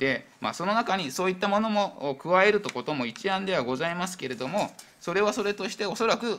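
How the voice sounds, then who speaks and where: Swinging very widely in pitch, a man talks at a fairly quick pace. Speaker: town industry section chief. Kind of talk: formal council answer. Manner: hesitant, filler-heavy. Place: hall. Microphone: podium.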